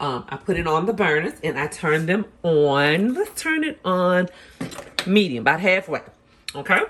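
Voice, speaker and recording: Against noticeable background noise, a woman with an American accent speaks at a moderate pace, her fairly low voice carrying lively intonation. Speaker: cooking channel host. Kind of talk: cooking tutorial. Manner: casual, conversational.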